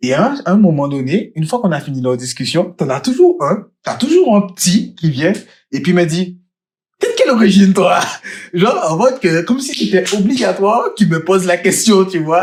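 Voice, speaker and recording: At a moderate pace, the speaker sounds animated, with lively intonation and big swings in loudness. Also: man, high pitch for a man. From Guadeloupe. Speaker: podcast co-host. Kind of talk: casual chat.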